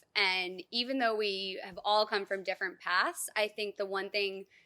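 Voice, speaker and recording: Loud, bright, sharp-toned speech from a woman at medium pitch, fairly slow pace and fairly even intonation, in a very clean recording with a silent background. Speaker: graduating dental resident. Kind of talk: graduation speech. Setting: outdoor ceremony.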